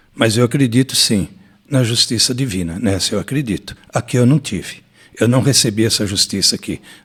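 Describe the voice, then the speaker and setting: This man has a medium-pitched, somewhat breathy voice. He talks at a moderate pace with ordinary pitch variation. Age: 60s. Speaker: former mayor. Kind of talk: interview.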